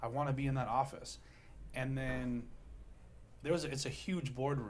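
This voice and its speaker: Somewhat breathy, a man with an American accent speaks amid audible room echo. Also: medium pitch for a man, moderate pace. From US West Coast, Long Beach, California. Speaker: real estate investor and keynote speaker. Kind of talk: podcast interview. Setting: studio. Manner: animated.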